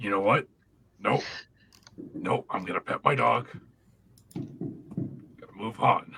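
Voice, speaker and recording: Raspy and put on as a character voice, the speech moves at a fairly slow pace with long, frequent pauses. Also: man, medium pitch for a man. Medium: actual play. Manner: blunt.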